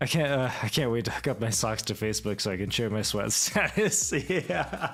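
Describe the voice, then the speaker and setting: Here a man speaks at a medium pitch. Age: 20s. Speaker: streamer. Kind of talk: casual chat. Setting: home livestream with podcasting microphone.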